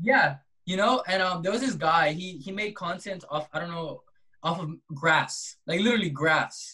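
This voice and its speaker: With an American accent, a man talks at a moderate pace in a high, bright and sharp voice with ordinary pitch variation. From US West Coast (Compton, California). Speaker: artist and social media creator. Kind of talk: casual interview chat.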